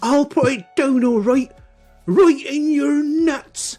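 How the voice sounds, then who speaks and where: A put-on, high-pitched, growling character voice at a very slow pace, with faint music in the background. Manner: menacing, growling.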